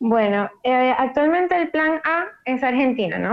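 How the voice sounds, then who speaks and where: A woman's high voice at a fairly slow pace. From Venezuela, Maracaibo. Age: 20s. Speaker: prospective emigrant. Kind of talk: casual conversation.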